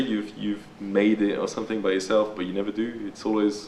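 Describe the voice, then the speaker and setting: This man speaks with a French accent at a moderate pace. His pitch sits fairly low. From France. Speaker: graffiti and body paint artist. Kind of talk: documentary interview. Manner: hesitant, many fillers and repeats.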